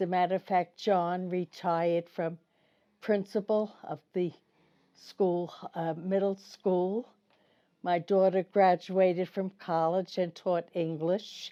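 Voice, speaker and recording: A woman with a New York accent speaks very slowly in a dark, mellow tone and a monotone, flat intonation. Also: medium pitch for a woman. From Brooklyn, New York. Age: 90s. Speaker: senior interviewee. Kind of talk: interview. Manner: halting.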